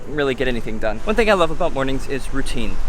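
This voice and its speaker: A man at a very fast pace with very wide pitch swings, with audible room echo and noticeable background noise. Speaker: vlogger. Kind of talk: casual vlog monologue. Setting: outdoors at the beach.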